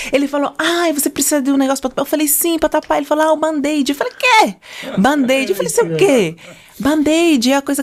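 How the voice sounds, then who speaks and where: A woman talks at a very fast pace in a high voice with ordinary pitch variation, over noticeable background noise. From Angola. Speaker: podcast guest, communication trainer and former model. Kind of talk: casual interview chat.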